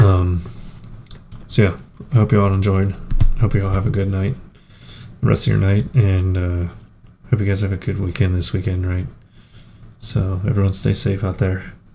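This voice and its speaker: Music plays in the background as a man speaks at a very deep, low pitch with fairly even intonation. His pace is moderate, broken by long, frequent pauses. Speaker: gaming streamer. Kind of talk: live stream commentary. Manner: casual, many fillers.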